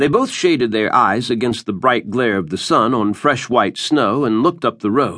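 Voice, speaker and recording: The delivery has a dramatic, animated tone. The pace is fairly slow. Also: man. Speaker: audiobook narrator. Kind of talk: scripted audiobook narration of a western, voicing characters. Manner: dramatic, animated storyteller, shifting between characters.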